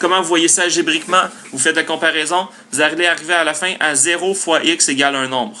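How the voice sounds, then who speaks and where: A man talks fairly quickly, his high voice varying in pitch an ordinary amount. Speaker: math teacher. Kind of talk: tutorial. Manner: fast.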